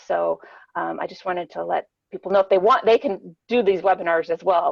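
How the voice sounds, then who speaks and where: A woman talks at a very fast pace. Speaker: educational psychologist. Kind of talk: webinar talk.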